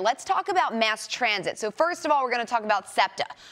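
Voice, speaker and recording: Over noticeable background noise, a woman with an American accent speaks in an upbeat tone with very wide pitch swings. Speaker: news anchor and reporter. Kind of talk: morning show banter and segment intros. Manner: friendly, conversational, upbeat.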